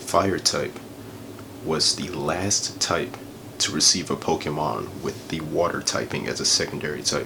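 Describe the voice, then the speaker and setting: A man with a very deep, low voice speaks softly at a fairly slow pace, his pitch varying in an ordinary way over noticeable background noise. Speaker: ASMR creator. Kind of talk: ASMR ramble. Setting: lo-fi home recording in a bedroom. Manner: soft-spoken, casual.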